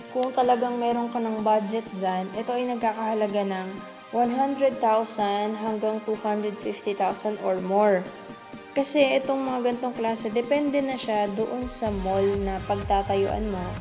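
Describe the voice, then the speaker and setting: A woman speaks at a fairly slow pace with fairly even intonation. Music can be heard in the background. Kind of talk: business presentation.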